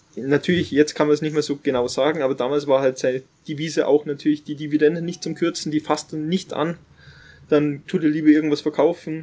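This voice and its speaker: A man's fairly high voice with a dark, mellow tone runs at a very fast pace in a flat monotone. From Upper Bavaria. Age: 30s. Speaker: finance influencer and soldier. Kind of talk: casual interview. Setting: outdoors on a farm terrace. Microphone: poor sound quality.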